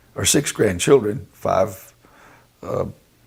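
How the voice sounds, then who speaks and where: Somewhat breathy and at a fairly slow pace, a man speaks with a North Carolina accent. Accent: Southern US (North Carolina). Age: 70s. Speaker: retired broadcasting executive. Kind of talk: oral history interview. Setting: recorded interview with photographer present. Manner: halting, many fillers.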